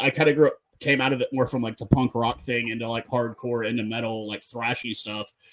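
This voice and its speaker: A man speaks at medium pitch. He has a normal speaking voice. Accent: American. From North America. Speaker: podcast host. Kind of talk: casual chat.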